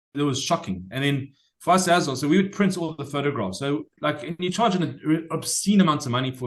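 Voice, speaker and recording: Speaking at a fairly quick pace, a man with a fairly high pitch shows ordinary pitch variation and vocal fry. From South Africa. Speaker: former cruise ship photographer. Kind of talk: casual chat. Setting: podcast interview.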